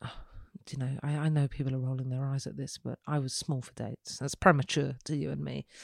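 A woman with an English accent speaks in a very deep, low pitch with a flat, monotone delivery, in a dry, close recording with no echo, very clean and with a silent background. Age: 30s. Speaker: photographic artist and podcast host. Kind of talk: solo podcast monologue.

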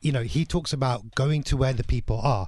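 A somewhat breathy male voice at a medium pitch, with ordinary pitch variation. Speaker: podcast production agency owner. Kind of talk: radio interview. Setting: studio.

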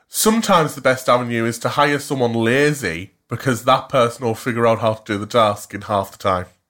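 A man with a Cumbrian accent, medium pitch, and ordinary pitch variation, at a fairly quick pace with hardly any pauses, on a very clean recording with a silent background. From Cumbria, northern England. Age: 20s. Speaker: podcast co-host. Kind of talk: casual chat. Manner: animated.

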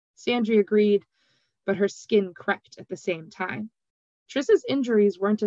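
The background is quiet here. Plain reading aloud carries ordinary pitch variation.

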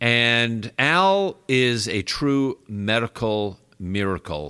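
A man with an American accent speaks at medium pitch with lively intonation and a bright, sharp tone. The recording is very clean, with a silent background. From New York. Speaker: physician and radio host. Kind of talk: radio interview. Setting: studio.

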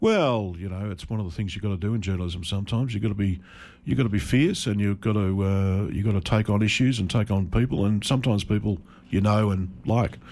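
Very fast and fairly low-pitched, a man speaks with an Australian accent and ordinary pitch variation. The recording is very clean, with a silent background. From regional Victoria, Australia. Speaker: journalist. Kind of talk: radio interview. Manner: hesitant, many fillers.

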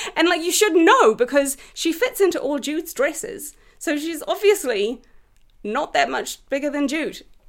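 A woman with a New Zealand accent, extremely high-pitched, at a moderate pace, with very wide pitch swings. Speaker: writer and actor. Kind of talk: casual chat.

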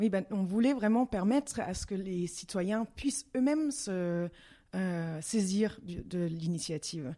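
Over a silent background in a very clean recording, a woman speaks very slowly at a medium pitch with a dark, mellow tone. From Belgium, Brussels. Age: 30s. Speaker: parliamentary assistant and former start-up founder. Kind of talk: interview. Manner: halting.

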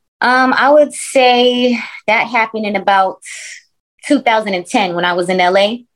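A plain, everyday voice from a woman with an American accent, fairly high in pitch with ordinary pitch variation, at a fairly slow pace. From US Northeast, Brooklyn. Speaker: rapper. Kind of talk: casual interview.

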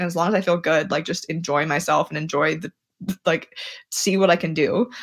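A plain, everyday voice from a woman at a fairly low pitch, moderate pace and ordinary pitch variation, on a very clean recording with a silent background. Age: 30s. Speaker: Olympic middle-distance runner. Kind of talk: casual interview.

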